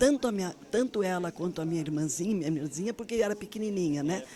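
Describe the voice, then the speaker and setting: Crowd noise fills the background as a woman speaks with lively intonation. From southern Brazil, Rio Grande do Sul. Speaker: former politician and activist. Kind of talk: interview.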